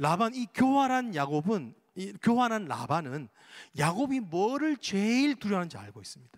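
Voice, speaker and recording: Very wide pitch swings mark the voice of a man with a Daegu accent, heard on a very clean recording with a silent background. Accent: Daegu dialect (Gyeongsang), noticeable. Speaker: pastor. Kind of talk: sermon.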